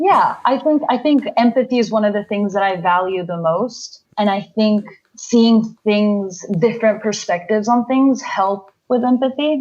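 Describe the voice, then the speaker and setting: A woman's fairly high, somewhat breathy voice with ordinary pitch variation, at a fairly slow pace. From Peru. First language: Spanish. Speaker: podcast guest. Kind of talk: casual interview.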